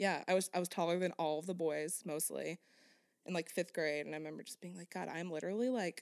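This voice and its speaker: A woman speaks at a fairly quick pace in a normal speaking voice. Her pitch is fairly low, with ordinary pitch variation. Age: 20s. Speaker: podcast co-host. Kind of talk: casual chat.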